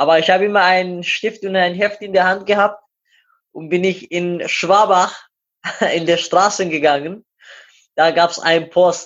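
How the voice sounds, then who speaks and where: A man with a Persian accent and a high pitch, speaking at a fairly slow pace in a flat monotone with long, frequent pauses. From Iran. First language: Persian (speaking German). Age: 20s. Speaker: amateur runner and glazier. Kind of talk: interview.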